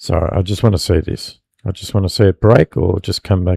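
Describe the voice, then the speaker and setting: A man speaks at a fairly low pitch in a dark, mellow tone. His intonation is monotone and flat, and the sound is dry and close with no echo. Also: very clean recording, silent background. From Australia. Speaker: futures trader streamer. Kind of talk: live trading commentary. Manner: casual, hesitant with many fillers.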